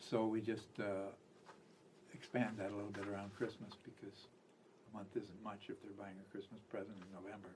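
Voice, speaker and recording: Against audible room echo, a man with a fairly low voice talks at a fairly quick pace in a monotone, flat intonation, with big swings in loudness and long, frequent pauses. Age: 80s+. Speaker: music retail founder. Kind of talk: radio interview. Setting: radio studio.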